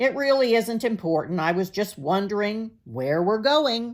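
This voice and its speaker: A put-on character voice, female-sounding and fairly high in pitch. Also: moderate pace. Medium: read story.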